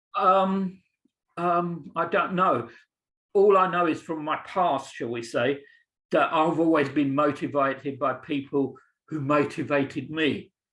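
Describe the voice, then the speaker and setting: Against a quiet background, a man with an English accent talks at a fairly slow pace, his fairly high pitch showing ordinary variation. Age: 60s. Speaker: teacher. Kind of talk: Q&A answer in webinar. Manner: halting.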